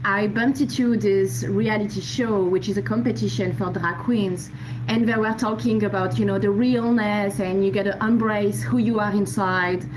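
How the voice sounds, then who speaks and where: Hardly pausing, the speaker moves at a moderate pace with very wide pitch swings and very even loudness, over noticeable background noise and audible room echo. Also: woman, medium pitch for a woman. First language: not English. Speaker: audience participant. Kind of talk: casual discussion.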